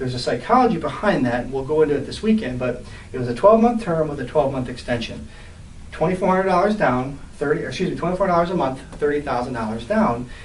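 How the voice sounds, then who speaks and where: A man's fairly high voice, very fast and lively in intonation, with audible room echo and noticeable background noise. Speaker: real estate investor and trainer. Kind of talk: deal walkthrough presentation.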